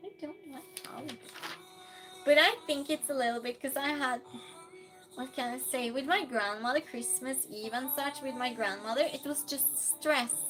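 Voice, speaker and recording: A woman speaks at a moderate pace in a high pitch, with ordinary pitch variation and big swings in loudness. Music plays in the background. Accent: Norwegian. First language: Norwegian. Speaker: streamer. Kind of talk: casual chat. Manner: reads chat messages aloud.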